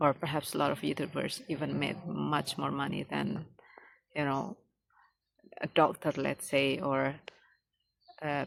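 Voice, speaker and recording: A woman with an Indonesian accent speaks at a fairly slow pace. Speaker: English learner vlogger. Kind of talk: casual monologue. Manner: halting, many fillers.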